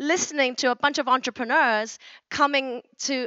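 Over a quiet background, a woman speaks. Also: dry sound with no echo. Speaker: keynote speaker. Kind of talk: conference keynote talk. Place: stage. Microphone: handheld.

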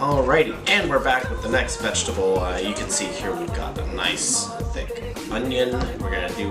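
Over loud background music, a man talks at a moderate speed. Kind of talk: casual cooking tutorial. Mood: playful, joking. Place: kitchen.

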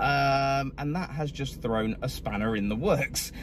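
A man speaks at a fairly slow pace. The sound is dry with no echo, set against loud background noise. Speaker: food vlogger. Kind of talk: casual vlog chat. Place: car. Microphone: phone near.

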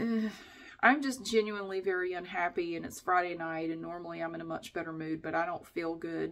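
A woman speaks in a hoarse, weary tone at a fairly low pitch with ordinary pitch variation. The background is quiet. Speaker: vlogger. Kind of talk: casual vlog chat. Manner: sick, weary, slightly hoarse voice. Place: bathroom. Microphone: phone near.

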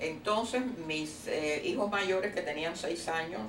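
A woman with a Cuban accent speaks at a fairly slow pace. There is audible room echo and light background noise. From Cuba, Havana. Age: 80s+. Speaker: retired teacher. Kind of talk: oral history interview. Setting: at her home. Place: home room. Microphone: camera far.

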